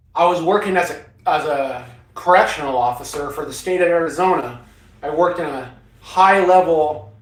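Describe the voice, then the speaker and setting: Against noticeable background noise and audible room echo, a man with an American accent speaks at a high pitch and a moderate pace, with ordinary pitch variation. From Northern California. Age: 60s. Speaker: off-grid living vlogger, former Marine. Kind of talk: casual livestream chat answering viewers. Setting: inside a cargo trailer.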